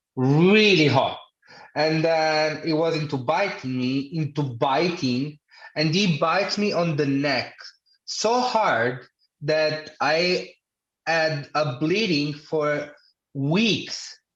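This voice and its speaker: Speaking with an Italian accent, a man with a fairly high pitch talks at a very slow pace. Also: ordinary pitch variation, very even loudness. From Italy. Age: 30s. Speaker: podcast guest with hemophilia. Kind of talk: casual chat.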